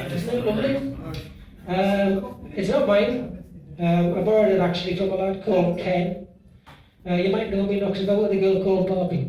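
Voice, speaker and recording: With long, frequent pauses, a man speaks at a high pitch with fairly even intonation and very even loudness, over noticeable background noise and audible room echo. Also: moderate pace. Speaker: after-dinner speaker. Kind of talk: humorous toast speech.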